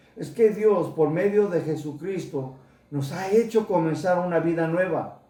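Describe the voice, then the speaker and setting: With audible room echo, a man talks fairly slowly in a high pitch, his pitch varying in an ordinary way. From United States. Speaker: pastor. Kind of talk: sermon.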